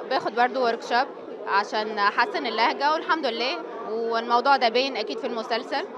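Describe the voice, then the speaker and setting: A woman's high-pitched voice at a fairly quick pace, with ordinary pitch variation, audible room echo and crowd noise in the background. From Tunisia. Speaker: actress. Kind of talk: interview.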